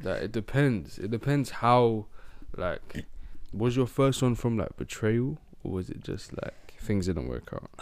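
A man's medium-pitched voice moves at a fairly slow pace with ordinary pitch variation. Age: 20s. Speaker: podcast co-host. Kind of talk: casual chat. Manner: animated.

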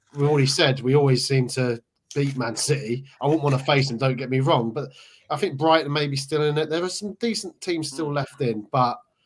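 With a fairly high pitch and a somewhat breathy sound, a man talks at a fairly quick pace. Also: ordinary pitch variation. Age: 40s. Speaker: football fan pundit. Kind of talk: casual chat.

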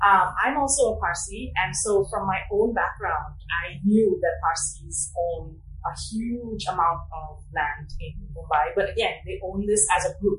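A woman talks at a fairly slow pace. The recording carries noticeable background noise and audible room echo. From United States. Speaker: anthropology professor. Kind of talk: interview.

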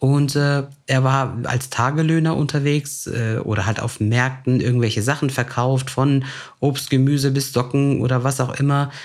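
A man with an ordinary speaking voice talks at medium pitch and a moderate pace, his intonation fairly even. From Germany, Turkish immigrant family. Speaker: podcast host. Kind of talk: casual chat.

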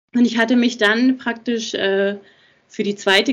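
Here a woman speaks at a moderate pace in a fairly high voice with ordinary pitch variation. It is an unremarkable speaking voice. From Germany, Berlin. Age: 40s. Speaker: nurse. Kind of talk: interview.

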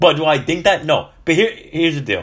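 Animated in tone and with vocal fry, a man with an American accent speaks at a moderate pace. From California. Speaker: sports podcast host. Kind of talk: casual solo sports commentary.

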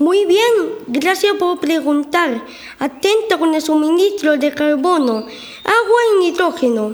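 Extremely high pitch at a fairly slow pace. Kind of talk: school radio drama. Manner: cheerful, eager.

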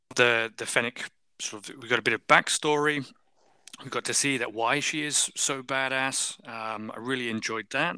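A man with a British accent, a medium pitch and a bright, sharp tone, fairly even intonation, a moderate pace and big swings in loudness, in a dry, close sound with no echo. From UK. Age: 40s. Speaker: podcast guest. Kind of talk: casual chat.

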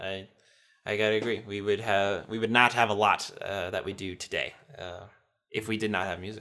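A man's fairly low voice with a bright, sharp tone at a moderate pace. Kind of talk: casual conversation.

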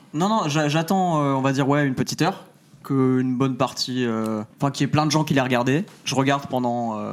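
The speaker has an ordinary speaking voice and talks at a fairly quick pace. Pitch varies in an ordinary way, and loudness stays very even. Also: man, fairly high pitch for a man. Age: 20s. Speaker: YouTuber. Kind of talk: casual live-stream chat.

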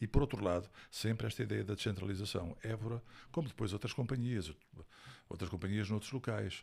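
A man talks at a fairly quick pace with vocal fry, a fairly low pitch and ordinary pitch variation. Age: 60s. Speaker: actor and stage director. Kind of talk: interview.

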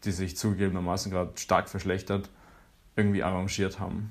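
This is a man speaking. His pitch is fairly low. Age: 20s. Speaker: university student. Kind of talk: personal account.

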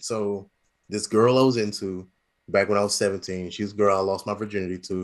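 A man at a fairly quick pace. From US Midwest, St. Louis. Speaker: stand-up comedian. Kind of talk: casual chat. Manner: halting.

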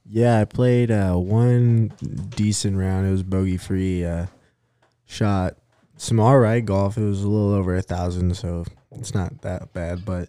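Fairly low-pitched, a man's voice carries a dark, mellow tone with fairly even intonation. He talks at a fairly slow pace on a very clean recording with a silent background. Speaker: disc golf player, podcast guest. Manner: monotone, flat delivery.

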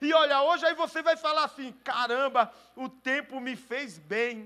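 The tone is bright and sharp. The voice is raised and projected. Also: man. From Brazil. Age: 40s. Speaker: pastor. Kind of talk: sermon.

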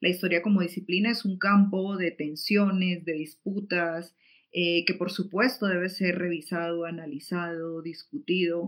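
Moderate pace and fairly even intonation from a woman at medium pitch. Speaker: activist. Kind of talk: online talk. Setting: livestream. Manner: hesitant, many fillers.

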